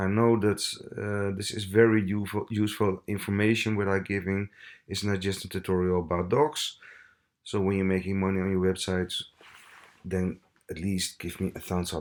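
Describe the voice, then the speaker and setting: Monotone and flat in intonation, this man talks at a fairly low pitch. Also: moderate pace. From Italy. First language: Italian. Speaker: web tutorial creator. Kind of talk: tutorial. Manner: halting, many fillers.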